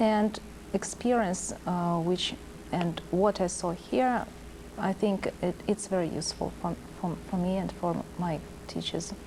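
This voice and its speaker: Over noticeable background noise, a woman speaks at a fairly slow pace. Her pitch is fairly low and her intonation fairly even. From Kazakhstan. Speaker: teacher. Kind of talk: interview. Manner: halting.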